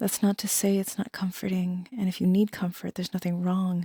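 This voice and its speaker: A soft-spoken woman's somewhat breathy voice, calm in tone and dark and mellow, at medium pitch and a moderate pace, in a dry, close sound with no echo and a very clean recording with a silent background. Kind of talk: soft-spoken ASMR tarot reading. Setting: studio, no music. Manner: soft-spoken, calm.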